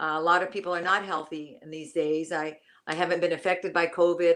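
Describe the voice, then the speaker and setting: The voice moves at a fairly quick pace. Its intonation is monotone and flat. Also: woman, quiet background. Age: 60s. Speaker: lawyer and kundalini yoga practitioner. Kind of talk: casual interview. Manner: halting.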